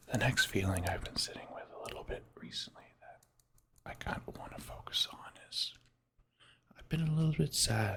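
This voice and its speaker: Someone is whispering. The pace is moderate. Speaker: ASMR creator. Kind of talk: ASMR whispered drawing session. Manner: whispered.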